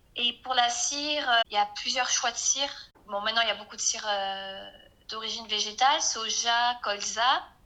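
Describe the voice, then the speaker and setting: With noticeable background noise behind her, a woman talks at a moderate pace in a fairly high pitch with ordinary pitch variation. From southwest France (Arcachon basin). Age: 20s. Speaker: small business owner and naturopath. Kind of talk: casual interview. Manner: hesitant, many fillers.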